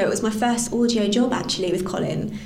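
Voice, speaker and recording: A woman with a London accent, fairly high in pitch with fairly even intonation, against noticeable background noise. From East London. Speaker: actor. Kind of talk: interview.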